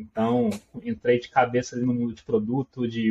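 A man speaks in a somewhat breathy voice at a medium pitch. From Minas Gerais, Brazil. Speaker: product manager. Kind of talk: casual interview chat.

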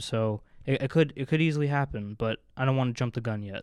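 An ordinary speaking voice from a man, medium in pitch with fairly even intonation, at a fairly quick pace over a quiet background. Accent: American. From northern New Jersey. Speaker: student podcast co-host. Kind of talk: casual sports chat. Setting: studio.

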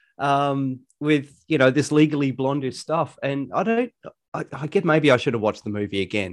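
A man speaks at a fairly high pitch and a moderate pace. The background is quiet. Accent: Australian. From Australia. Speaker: podcast co-host. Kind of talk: casual chat.

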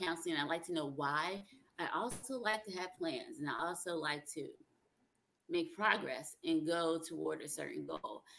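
This is a plain, everyday voice at a moderate pace. Its pitch variation is ordinary. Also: woman. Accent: American. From South Carolina, US South (from age 10). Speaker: songwriter and relationship coach. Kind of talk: interview conversation.

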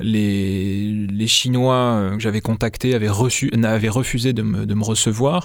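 Speaking at a very slow pace with hardly any pauses, a man uses fairly even intonation and a fairly low pitch. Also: very even loudness. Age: 30s. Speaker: investigative journalist and author. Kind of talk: interview. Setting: studio. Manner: halting, frequent repetitions.

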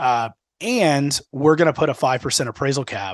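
A man with a plain, everyday voice, lively intonation, and a moderate pace, in a dry, close sound with no echo and a quiet background. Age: 30s. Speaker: podcast co-host on local government finance. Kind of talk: casual chat.

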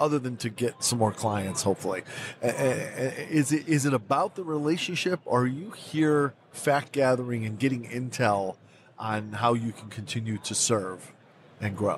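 At a moderate pace, a man speaks in a plain, everyday voice with medium pitch and ordinary pitch variation. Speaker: podcast host. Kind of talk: interview.

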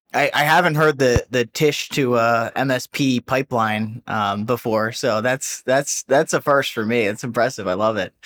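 A man with an American accent talks at a moderate pace, with hardly any pauses, in a medium pitch with ordinary variation. It is a plain, everyday voice, heard in a dry, close sound with no echo. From New Jersey. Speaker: podcast host. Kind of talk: interview.

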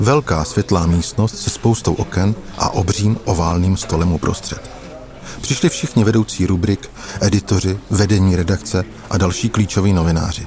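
Loudness stays very even at a moderate pace, with ordinary pitch variation and noticeable background noise. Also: man, very deep, low pitch for a man. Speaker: investigative journalist. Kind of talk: storytelling narration.

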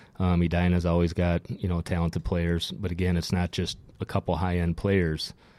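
A man's very deep, low voice with an Upper Midwest accent, dark and mellow in tone, monotone and flat, at a moderate pace, in a very clean recording with a silent background and a dry, close sound with no echo. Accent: Upper Midwest American. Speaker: former hockey player. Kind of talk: casual chat.

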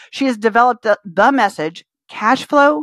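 With no echo at all, the sound is dry and close, captured in a very clean recording over a silent background. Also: woman. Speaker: podcast host. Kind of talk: casual interview chat. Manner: fast talker; animated.

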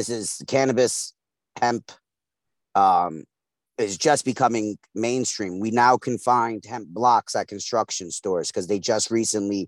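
A man uses a normal speaking voice at a medium pitch, with ordinary pitch variation and a fairly slow pace. The recording is very clean with a silent background and a dry, close sound with no echo. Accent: American. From East New York, Brooklyn. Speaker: radio co-host and hemp farmer. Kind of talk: casual chat.

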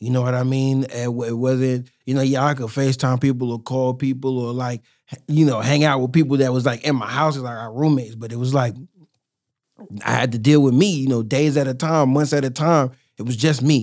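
A man speaks at a fairly quick pace in an unremarkable speaking voice, his pitch medium and his intonation fairly even. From born in New York (Harlem), raised in Durham, North Carolina from middle school. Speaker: rapper and community activist. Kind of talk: casual interview chat. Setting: podcast studio.

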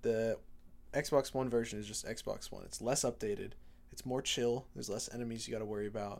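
At a fairly quick pace, a man with an ordinary speaking voice and a medium pitch keeps fairly even intonation while his loudness swings widely. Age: 20s. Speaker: podcast co-host. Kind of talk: casual chat.

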